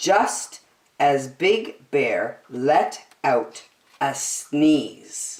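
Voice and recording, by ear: A woman speaks at a very slow pace with an extremely low pitch, big pitch swings and a slightly mellow tone, and the room echo is audible.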